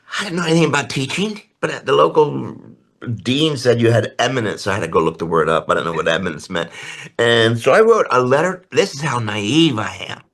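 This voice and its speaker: A man speaks at a medium pitch with very wide pitch swings and vocal fry. His pace is fairly quick and his tone animated. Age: 80s+. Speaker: artist and painting teacher. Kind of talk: interview.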